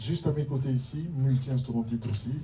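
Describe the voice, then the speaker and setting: With a non-native accent, a man speaks at a moderate pace in a dark, mellow, somewhat breathy voice with fairly even intonation, and the room echo is audible. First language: not French (speaking French). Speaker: band leader introducing musicians on stage. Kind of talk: live stage band introduction. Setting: stage with audience.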